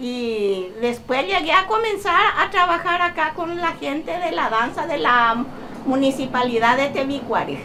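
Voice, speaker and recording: A woman's high-pitched, raised and projected voice, fairly slow, with very wide pitch swings, audible room echo and noticeable background noise. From Paraguay, Tebicuary. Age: 60s. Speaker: seamstress. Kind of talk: casual interview. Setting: her home workshop.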